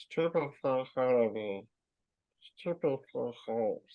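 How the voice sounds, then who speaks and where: A man's put-on character voice, raspy and hissing, medium in pitch and fairly slow in pace. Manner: deliberately poor, hard to understand.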